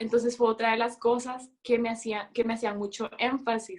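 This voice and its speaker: The voice is a woman's, high in pitch. She talks at a moderate pace. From El Salvador. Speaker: student abroad. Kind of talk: casual chat.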